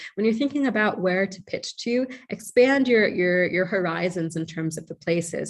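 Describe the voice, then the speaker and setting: In a plain, everyday voice, a woman with an American accent talks at a medium pitch and a moderate pace with lively intonation against a quiet background. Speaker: journalist. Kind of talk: online training presentation.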